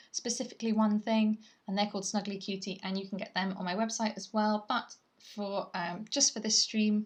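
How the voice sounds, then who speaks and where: With a British accent, a woman speaks at a moderate pace and a fairly high pitch. Her voice is somewhat breathy over a quiet background. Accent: British (UK). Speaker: artist livestreamer. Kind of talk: casual livestream chat. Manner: chatty, rambling with fillers.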